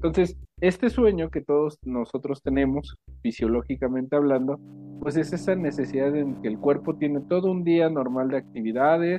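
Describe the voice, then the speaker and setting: A man speaks in an ordinary speaking voice at a fairly high pitch. His pace is moderate and his pitch variation ordinary. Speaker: psychologist. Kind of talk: interview.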